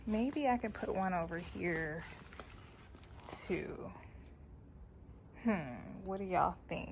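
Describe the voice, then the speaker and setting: With lively intonation, the speech moves at a very slow pace with long, frequent pauses and audible room echo. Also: woman, fairly low pitch for a woman. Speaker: gardening youtuber. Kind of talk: casual vlog tutorial.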